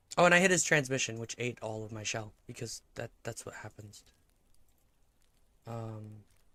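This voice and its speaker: A man mumbles at a moderate pace and medium pitch, with long, frequent pauses and big swings in loudness. His tone is bright and sharp, with ordinary pitch variation. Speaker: vtuber streamer. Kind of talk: casual gaming stream chat. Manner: mumbling.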